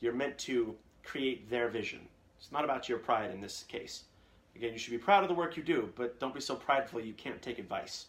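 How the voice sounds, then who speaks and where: A man speaks at medium pitch with ordinary pitch variation. His pace is fairly quick. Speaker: voice actor. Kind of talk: live Q&A stream. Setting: live video stream. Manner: casual, with many fillers.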